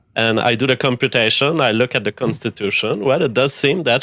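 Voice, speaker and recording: A man with a French accent at a medium pitch and moderate pace, ordinary pitch variation, music in the background and a dry, close sound with no echo. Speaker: caller. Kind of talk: casual chat.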